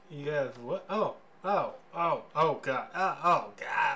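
A put-on character voice at a middle pitch, over light background noise. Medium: actual play. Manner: pompous, then flustered.

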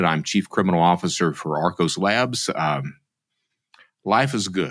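A man speaks with an Appalachian accent at a very deep, low pitch. The recording is very clean, with a silent background. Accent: Appalachian Southern US. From Eastern Kentucky, US South. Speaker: former fraudster turned security expert. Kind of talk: interview.

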